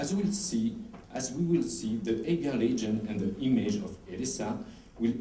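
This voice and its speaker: The man's pitch swings very widely. Room echo is audible around him. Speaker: historical researcher presenting at a conference. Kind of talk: conference presentation. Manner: halting, with stumbles and restarts.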